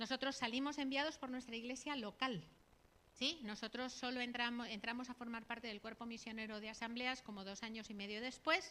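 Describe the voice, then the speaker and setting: A woman with a Catalan accent speaks at a fairly quick pace in a high pitch, her tone bright and sharp and her intonation fairly even. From Catalonia, Spain (Barcelona area). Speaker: missionary. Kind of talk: sermon / missionary talk. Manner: conversational, frequent tag questions.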